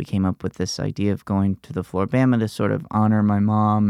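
A man with an American accent uses a normal speaking voice at a fairly low pitch, recorded very clean with a silent background and a dry, close sound with no echo. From US South, Alabama Gulf Coast. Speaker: comedian. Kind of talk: casual interview.

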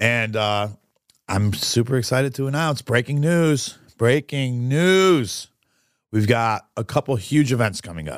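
The tone is energetic, with lively intonation at a fairly slow pace. It's a very clean recording with a silent background. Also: man. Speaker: restaurant owner and podcast host. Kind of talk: casual chat. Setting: studio.

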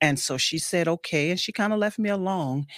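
In a very clean recording with a silent background and a dry, close sound with no echo, a woman speaks at a moderate pace with ordinary pitch variation. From New Orleans, Louisiana. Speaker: state politician. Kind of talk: interview.

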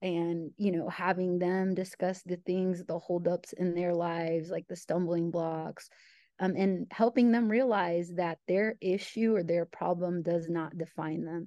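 A woman with an American accent talks at a fairly slow pace in a fairly low voice with fairly even intonation against a quiet background. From US Midwest, small-town Illinois. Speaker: educator and author. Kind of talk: interview.

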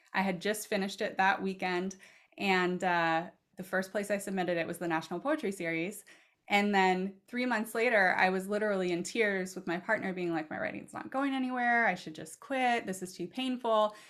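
An unremarkable speaking voice, a woman with an American accent talks at a fairly quick pace with a medium pitch and ordinary pitch variation on a very clean recording with a silent background. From Oregon, US Pacific Northwest. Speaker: author and poet. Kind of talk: casual interview conversation.

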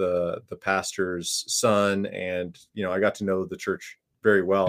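On a very clean recording with a silent background, a man with an American accent and an unremarkable speaking voice talks at a fairly low pitch and a fairly slow pace. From northern Minnesota. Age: 30s. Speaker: seminary professor. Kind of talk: casual theological discussion.

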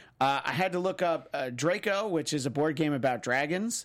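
On a very clean recording with a silent background, a man with an American accent and an unremarkable speaking voice speaks at a moderate pace, fairly high-pitched, with lively intonation. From New York. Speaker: podcast host. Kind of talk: casual chat.

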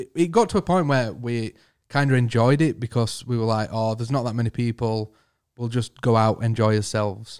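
Here is a man with a plain, everyday voice at a medium pitch, speaking at a moderate pace. His pitch varies in an ordinary way, and the recording is very clean with a silent background. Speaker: band member. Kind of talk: casual interview chat.

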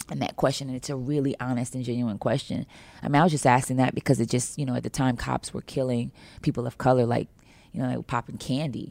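A woman's very deep, low voice with an American accent, dark, mellow tone, vocal fry and monotone, flat intonation at a very fast pace, on a very clean recording with a silent background. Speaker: singer. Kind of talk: interview. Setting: studio.

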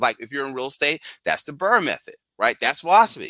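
At a fairly quick pace, a man with an American accent speaks in a bright, sharp tone. The recording is very clean with a silent background, and the sound is dry and close with no echo. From Philadelphia, North Philly. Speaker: financial educator. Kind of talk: casual interview.

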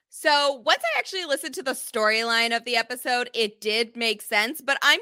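A woman speaks in a high, raised, projected voice with a bright, sharp tone and lively intonation at a moderate pace. The sound is dry and close with no echo, on a very clean recording with a silent background. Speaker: podcast recap host. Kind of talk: casual chat.

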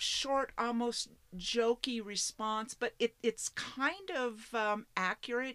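A bright, sharp-toned woman with an American accent, speaking very slowly. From Washington State, US Pacific Northwest. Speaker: geocaching hobbyist and solo RVer. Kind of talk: casual interview. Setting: outdoors at a state park campground.

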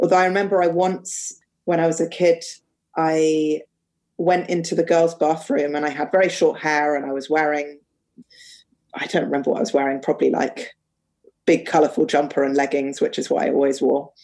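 With a London accent, a woman speaks at a fairly quick pace and a very deep, low pitch. Her intonation is fairly even, broken by long, frequent pauses. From London, England. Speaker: artist and educator. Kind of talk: casual chat.

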